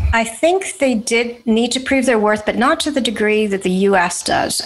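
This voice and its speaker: A woman speaks with an American accent. Noticeable background noise runs beneath her voice. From United States. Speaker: advertising strategist. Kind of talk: interview.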